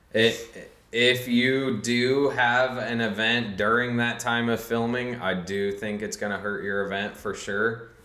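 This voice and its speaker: A man talks with hardly any pauses and fairly even intonation. Audible room echo surrounds his voice. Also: fairly slow pace. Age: 30s. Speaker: street racer; podcast guest. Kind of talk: casual chat. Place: studio.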